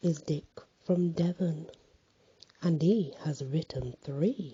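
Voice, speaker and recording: This soft-spoken man talks at a high pitch with ordinary pitch variation. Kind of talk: poetry reading.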